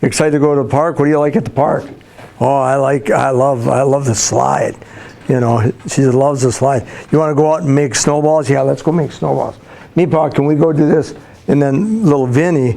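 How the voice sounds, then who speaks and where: There is noticeable background noise. A man with a fairly high pitch talks with ordinary pitch variation. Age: 60s. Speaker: school counselor, guest speaker to students. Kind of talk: talk to a class of students. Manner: animated, storytelling with voiced imitations.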